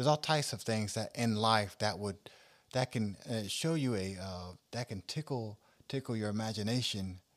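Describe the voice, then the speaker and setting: Pitch in an unremarkable speaking voice shifts in a typical way at a medium speed. Nothing but silence surrounds it on a very clean recording. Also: man, fairly low pitch for a man. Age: 40s. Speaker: minister and podcast host. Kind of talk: casual religious discussion. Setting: studio, also streamed live on social media.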